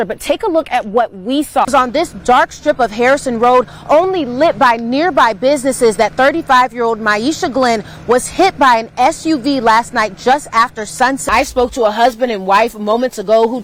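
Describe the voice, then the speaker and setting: Noticeable background noise sits under a woman with an American accent. She speaks in a high pitch with ordinary pitch variation and hardly any pauses. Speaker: television news reporter and anchor. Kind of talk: live TV news reporting.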